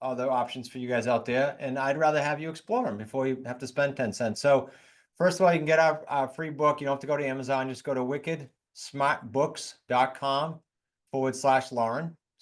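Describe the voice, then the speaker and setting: A man with a New England accent speaks at a fairly quick pace in a fairly high pitch. The background is quiet. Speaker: real estate investor and coach. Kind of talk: podcast interview. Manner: animated.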